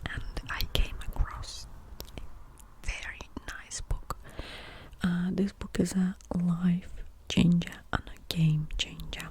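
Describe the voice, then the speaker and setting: Whispering at a very slow pace, a woman leaves long, frequent pauses while noticeable background noise continues. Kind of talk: ASMR rumble about mental health, soft speaking and whispering. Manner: soft-spoken, whispering.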